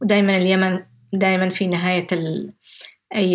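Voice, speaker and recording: A woman at medium pitch. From Yemen, Jibla. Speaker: activist. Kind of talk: interview testimony. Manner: soft-spoken.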